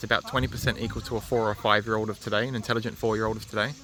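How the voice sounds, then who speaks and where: A man talks at a medium pitch while noticeable noise carries on in the background. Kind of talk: live vlog. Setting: indoor community place, then outdoors. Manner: halting; soft-spoken.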